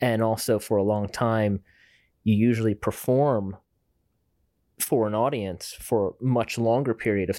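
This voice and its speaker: A plain, everyday voice from a man, fairly low in pitch with fairly even intonation at a moderate pace, on a very clean recording with a silent background. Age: 30s. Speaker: ballet dancer and actor. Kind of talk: casual interview chat.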